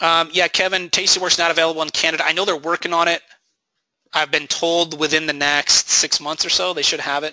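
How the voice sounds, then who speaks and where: With a bright, sharp tone and a dry, close sound with no echo, the voice moves at a fairly quick pace in monotone, flat intonation. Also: man, fairly high pitch for a man. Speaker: trading educator, webinar host. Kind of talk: live webinar Q&A. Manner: fast.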